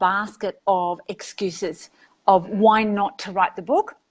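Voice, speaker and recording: A woman speaks fairly slowly at a medium pitch. The recording is very clean, with a silent background. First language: Greek and Arabic. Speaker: author and educator. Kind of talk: interview.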